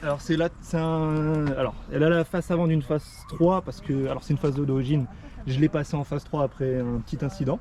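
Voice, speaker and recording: Fairly even intonation and a fairly quick pace in a normal speaking voice. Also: man, fairly high pitch for a man. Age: 20s. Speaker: car owner, photographer. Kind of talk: casual car walkaround chat.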